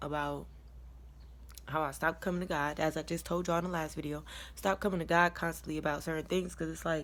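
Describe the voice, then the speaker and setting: Very fast speech comes from a woman, broken by long, frequent pauses. The recording is very clean, with a silent background. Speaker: vlogger. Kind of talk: personal story time.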